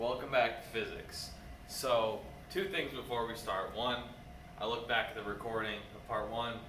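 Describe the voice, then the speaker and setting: Amid noticeable background noise and audible room echo, a man talks at a moderate pace with long, frequent pauses. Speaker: physics teacher. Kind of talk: lecture. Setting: recorded video lesson with camera. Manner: calm, not very enthusiastic; laid-back.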